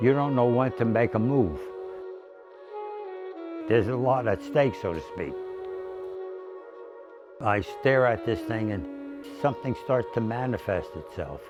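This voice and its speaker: Someone speaks at a fairly slow pace in an American accent, with long, frequent pauses. Music plays in the background. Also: man, medium pitch for a man, ordinary pitch variation. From Newark, New Jersey. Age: 80s+. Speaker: painter. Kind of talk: interview answer.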